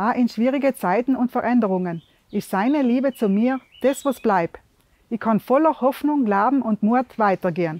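This woman has a South Tyrolean accent and a fairly high pitch. The sound is dry with no echo. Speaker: devotional video host. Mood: calm, warm, sincere. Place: open country.

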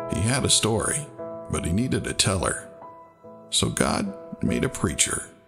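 A man's voice at a fairly slow pace, with clear music in the background. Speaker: voice actor. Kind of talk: inspirational church tribute narration.

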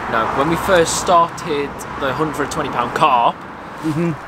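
A man keeps a moderate speed despite loud background noise. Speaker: fishing vlogger. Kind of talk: casual vlog chat. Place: garden.

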